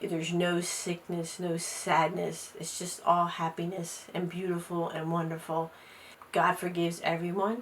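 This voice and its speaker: With an American accent, a woman speaks fairly slowly at a fairly low pitch, her intonation monotone and flat, over noticeable background noise. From US Mid-Atlantic, Delaware. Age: 60s. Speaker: interviewee, host's mother. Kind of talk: interview testimony.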